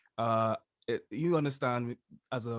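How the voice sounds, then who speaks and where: In a very clean recording with a silent background, a man with a medium pitch speaks in a strong Bahamian accent. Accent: broad Bahamian. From Bahamas. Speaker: YouTuber, social commentator. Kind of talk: interview.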